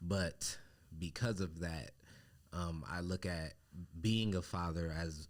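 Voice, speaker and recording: With fairly even intonation, a man speaks in a very deep, low voice. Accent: American. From Compton, California. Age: 30s. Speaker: podcast co-host, father. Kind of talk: casual podcast conversation. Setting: studio.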